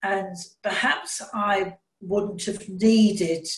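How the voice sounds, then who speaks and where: This is a woman speaking. She has a southern English accent. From southern England, Brighton. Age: 80s+. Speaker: retired bank worker. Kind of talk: interview.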